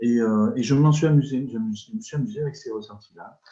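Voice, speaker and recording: With lively intonation, a man speaks at a medium pitch and moderate pace. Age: 60s. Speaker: energy healer, retired social worker. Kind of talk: interview. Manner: halting, many repetitions and hesitations.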